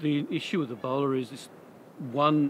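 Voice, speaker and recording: A man at a moderate pace with ordinary pitch variation over light background noise. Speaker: interviewee. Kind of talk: interview answer. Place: street.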